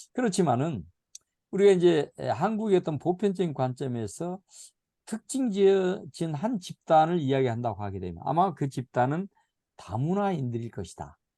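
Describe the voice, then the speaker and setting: Over a quiet background, a man's dark, mellow voice makes very wide pitch swings. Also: moderate pace. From South Jeolla, Korea (Goheung County). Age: 70s. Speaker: missiology lecturer. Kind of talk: lecture. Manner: hesitant, many fillers.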